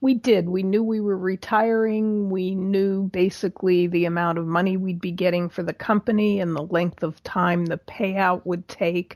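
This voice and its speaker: A woman speaks in a plain, everyday voice with an American accent, medium pitch and fairly even intonation, at a moderate pace with hardly any pauses. The sound is dry and close, with no echo. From Pittsburgh area, US. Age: 60s. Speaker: retired business owner, volunteer chapter president. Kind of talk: interview.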